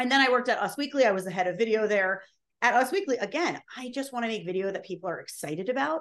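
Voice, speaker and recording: A woman's fairly high voice at a very fast pace. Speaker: social video strategist and on-camera coach. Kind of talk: casual interview chat about video tips. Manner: fast talker, high energy.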